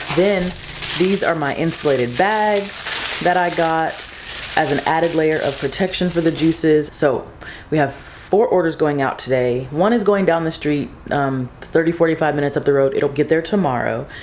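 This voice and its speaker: A woman's very deep, low voice, with noticeable background noise and audible room echo. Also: ordinary pitch variation, moderate pace. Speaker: small business owner and vlogger. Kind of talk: casual vlog. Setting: garage. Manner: soft-spoken.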